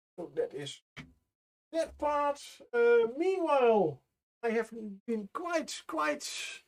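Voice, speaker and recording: An extremely high-pitched man with a non-native accent, very wide pitch swings, a very slow pace and long, frequent pauses. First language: not English. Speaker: miniature painting streamer. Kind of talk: casual live-stream commentary. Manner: halting, many fillers.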